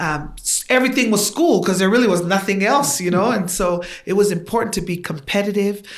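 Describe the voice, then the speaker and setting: In a Tongan accent, a woman with a medium pitch and ordinary pitch variation talks at a fairly quick pace with hardly any pauses, and room echo is audible. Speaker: guest. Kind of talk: casual chat.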